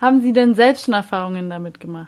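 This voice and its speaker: High in pitch, a woman talks at a moderate pace with ordinary pitch variation. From Munich. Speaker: podcast host. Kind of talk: interview.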